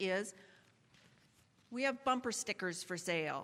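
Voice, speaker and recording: A woman speaks with a bright, sharp tone and lively intonation at a moderate pace. The recording is very clean, with a silent background. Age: 70s. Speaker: lay worship leader. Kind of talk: church announcements and personal reflection.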